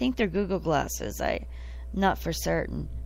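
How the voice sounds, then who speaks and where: This woman talks at a moderate pace. She has an American accent. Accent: southern US accent, comes and goes. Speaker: podcast host. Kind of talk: casual chat. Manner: animated.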